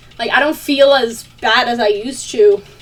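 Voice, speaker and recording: A woman with a high pitch speaks in an animated tone with lively intonation, over noticeable background noise. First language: not English. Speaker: vlogger. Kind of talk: casual chat.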